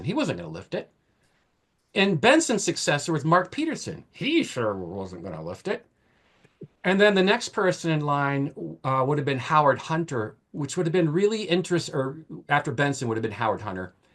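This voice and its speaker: A man with an American accent speaks at a moderate pace in a fairly high voice with vocal fry and very wide pitch swings. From Maine, US. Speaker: author and historian. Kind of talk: panel discussion.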